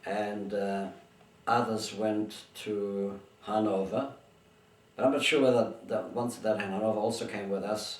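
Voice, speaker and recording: Amid noticeable background noise and audible room echo, the speech comes at a fairly slow pace in a monotone, flat way, with long, frequent pauses. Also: man, fairly low pitch for a man. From Germany, born in Bulgaria. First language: Bulgarian, then German. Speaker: interviewee, migrant. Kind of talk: oral history interview. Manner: halting, with many restarts.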